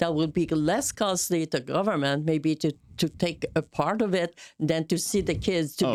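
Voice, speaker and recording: A woman with a French-Canadian accent speaks in a fairly low voice, recorded very cleanly with a silent background and a dry, close sound with no echo. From Montreal, Quebec, Canada. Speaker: political candidate. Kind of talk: conversational interview talk.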